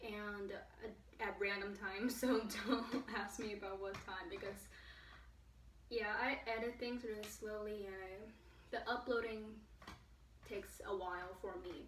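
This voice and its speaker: A woman speaks at a fairly high pitch and a fairly slow pace, with long, frequent pauses. Room echo is audible, along with light background noise. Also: ordinary pitch variation. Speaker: vlogger. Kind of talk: casual talk to camera. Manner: hesitant, stuttering. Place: home room. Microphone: camera far.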